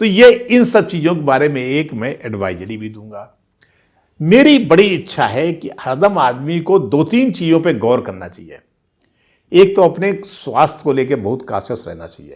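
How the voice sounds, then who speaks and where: A man talks in a fairly high pitch with vocal fry. His pitch swings very widely and his loudness rises and falls sharply. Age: 60s. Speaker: veteran journalist, channel host. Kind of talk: casual storytelling monologue.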